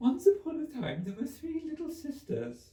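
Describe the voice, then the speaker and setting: Delivered at a moderate pace, the put-on character voice sounds hoarse. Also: man, extremely high pitch for a man. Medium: read story.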